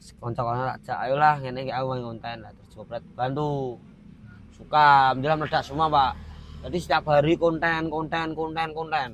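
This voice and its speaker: A man with a Semarang accent talks at a fairly quick pace and a fairly high pitch. His loudness swings widely. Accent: Semarang Javanese. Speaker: content creator. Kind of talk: casual chat. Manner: animated.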